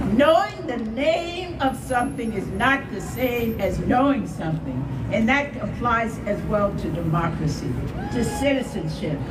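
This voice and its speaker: Amid noticeable background noise and audible room echo, a woman with an American accent speaks fairly slowly at a fairly high pitch, her pitch swinging very widely. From US Midwest, Akron, Ohio. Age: 80s+. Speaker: retired journalist and former nurse, rally speaker. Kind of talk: speech at a rally.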